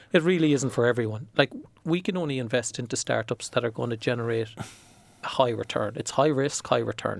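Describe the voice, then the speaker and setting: In a Cork accent, a man talks at a fairly quick pace in a medium pitch with ordinary pitch variation. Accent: Irish (Cork). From Ireland. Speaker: venture capital investor and CFO. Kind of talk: podcast interview. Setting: studio.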